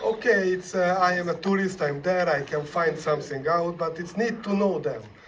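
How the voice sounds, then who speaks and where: A man talks with ordinary pitch variation. Audible room echo and noticeable background noise surround him. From Hungary. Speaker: film director. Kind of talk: festival Q&A. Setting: stage with audience. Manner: halting.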